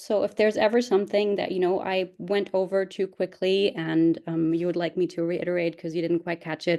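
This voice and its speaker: Her voice fairly low and dark and mellow in tone, a woman talks at a fairly quick pace with hardly any pauses and fairly even intonation. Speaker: PhD researcher presenting. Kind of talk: webinar lecture. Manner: fast.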